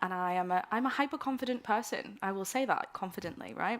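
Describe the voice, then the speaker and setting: At a fairly quick pace, a woman is speaking. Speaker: operations leader, mentee on a panel. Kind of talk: panel discussion.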